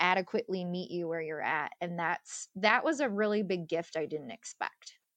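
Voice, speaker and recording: Medium pitch and ordinary pitch variation at a moderate tempo, from a woman with an unremarkable speaking voice. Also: quiet background. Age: 30s. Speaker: author and widow sharing grief experience. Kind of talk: interview conversation.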